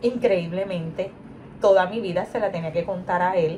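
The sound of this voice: At a moderate pace, a woman talks with a slightly mellow tone. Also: fairly low pitch for a woman, ordinary pitch variation.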